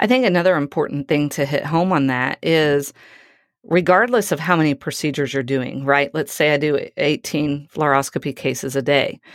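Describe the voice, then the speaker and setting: At a moderate pace, a woman talks in a very deep, low voice. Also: ordinary pitch variation, very clean recording, silent background. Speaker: radiologist assistant, podcast co-host. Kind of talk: casual chat.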